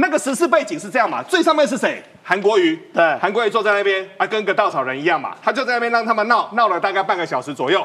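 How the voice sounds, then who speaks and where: This man talks at a very fast pace. His high voice has very wide pitch swings. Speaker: financial expert. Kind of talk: political talk show discussion.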